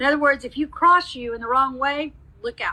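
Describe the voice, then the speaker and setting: Raised and projected, a woman's high-pitched voice carries a bright, sharp tone with ordinary pitch variation. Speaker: psychic medium. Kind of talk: live mediumship reading. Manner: fast.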